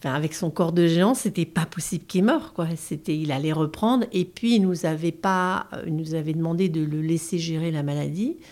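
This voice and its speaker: A woman's fairly low voice at a moderate pace, with ordinary pitch variation, on a very clean recording with a silent background. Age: 50s. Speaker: bereaved mother. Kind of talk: testimony. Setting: in-person recording in Paris. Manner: halting.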